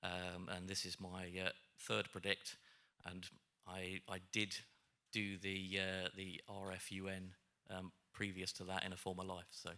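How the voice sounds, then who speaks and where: Very deep, low male voice, bright and sharp in tone, flat and monotone, at a fairly slow pace with long, frequent pauses. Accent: British. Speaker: cybersecurity panelist. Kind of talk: panel discussion. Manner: halting, many fillers.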